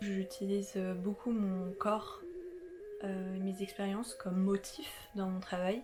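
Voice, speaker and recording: Over music in the background, a woman speaks very slowly at a medium pitch with fairly even intonation. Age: 20s. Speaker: artist and vlogger. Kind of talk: casual self-introduction vlog. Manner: hesitant, many fillers.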